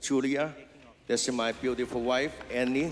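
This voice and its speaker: A man with a Cantonese accent at a moderate pace, with music in the background. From China. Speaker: award recipient, business owner. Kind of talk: acceptance speech. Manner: halting.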